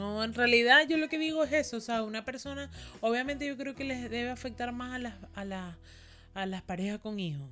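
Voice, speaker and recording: Bright and sharp in tone, a woman's high voice runs at a fairly quick pace with lively intonation. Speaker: podcast co-host. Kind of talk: casual chat.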